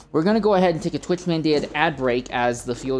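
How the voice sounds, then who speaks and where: Very rapid speech by a woman, with background noise clearly audible. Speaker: sim racing broadcast host. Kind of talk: live commentary. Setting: livestream. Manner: halting.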